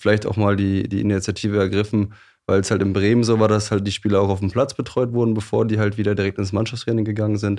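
A man's fairly low, dark and mellow voice, very fast and flat in intonation with very even loudness, over a quiet background. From northwestern Germany, Osnabrück area. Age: 20s. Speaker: athletic coach. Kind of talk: interview conversation.

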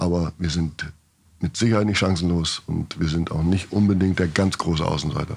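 A man's very deep, low voice at a moderate pace, with fairly even intonation and very even loudness. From northern Germany, near Bremen. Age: 50s. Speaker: goalkeeping coach. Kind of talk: podcast interview.

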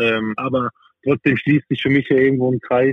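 The man speaks in a monotone with flat intonation. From southern Baden, Freiburg im Breisgau. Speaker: professional handball player. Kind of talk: casual interview. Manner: halting, many fillers.

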